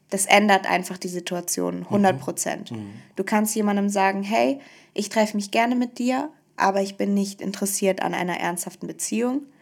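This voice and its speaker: A woman with an ordinary speaking voice, medium pitch, ordinary pitch variation and a moderate pace. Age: 20s. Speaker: single sharing her dating story. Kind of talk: casual interview.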